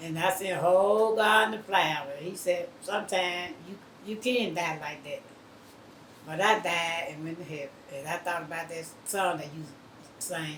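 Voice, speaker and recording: In a Southern US accent, a woman with a fairly low pitch and ordinary pitch variation speaks at a moderate pace. Her loudness swings widely, with noticeable background noise. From Mississippi. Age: 70s. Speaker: retired cotton field worker. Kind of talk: interview answer. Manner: reminiscent, conversational.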